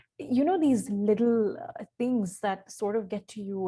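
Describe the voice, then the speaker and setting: A woman with a dark, mellow, somewhat breathy tone, medium pitch, ordinary pitch variation and a moderate pace. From India. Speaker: communications specialist and journalist. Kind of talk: interview. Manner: hesitant, many fillers.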